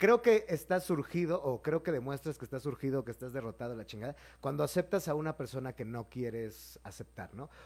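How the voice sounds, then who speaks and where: On a very clean recording with a silent background, a man talks at a fairly quick pace with hardly any pauses, a fairly high pitch, lively intonation and big swings in loudness. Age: 30s. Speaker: comedian. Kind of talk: casual chat. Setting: live stream. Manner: animated.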